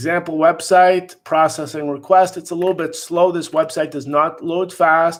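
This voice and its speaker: A man speaks with a high pitch and a flat, monotone delivery. He hardly pauses at all. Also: moderate pace. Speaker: webinar moderator for insurance agents. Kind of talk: live conference call presentation. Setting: conference call. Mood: critical, mildly exasperated. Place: home room. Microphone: webcam.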